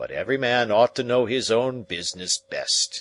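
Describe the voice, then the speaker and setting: A man puts on a raspy character voice, pitched medium and delivered at a moderate pace. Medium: read story. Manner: cool, measured, noncommittal.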